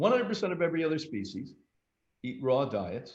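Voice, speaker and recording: Lively intonation marks this man's speech at a moderate pace. His voice comes across somewhat breathy. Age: 70s. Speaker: health institute director. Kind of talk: interview. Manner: animated.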